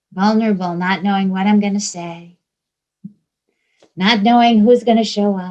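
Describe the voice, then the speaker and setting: The speaker has a Georgia accent and a moderate pace. Long, frequent pauses break up the speech. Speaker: spiritual teacher. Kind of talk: spiritual talk to a group.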